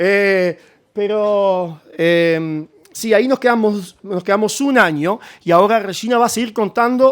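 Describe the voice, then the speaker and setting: A man's high voice with ordinary pitch variation. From Germany, then Uruguay from age one. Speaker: missionary. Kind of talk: missionary talk with slides. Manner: halting, many fillers.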